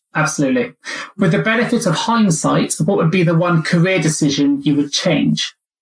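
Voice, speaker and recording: The speaker has a British accent and lively intonation at a fairly quick pace. Loudness stays very even. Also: man, high pitch for a man. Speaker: podcast host and recruiter. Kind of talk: interview.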